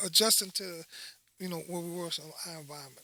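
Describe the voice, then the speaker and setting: A man speaks with a New Orleans accent. His voice is raised and projected. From Dominican Republic, raised in New Orleans (Algiers) from age 8. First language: Spanish. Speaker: high school football coach. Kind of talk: casual chat. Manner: animated.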